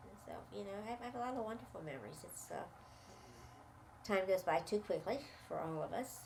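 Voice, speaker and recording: With an American accent and lively intonation, a woman talks at a fairly quick pace amid audible room echo. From US Mid-Atlantic, Washington DC. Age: 80s+. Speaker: interviewee recounting her life. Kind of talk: life story interview.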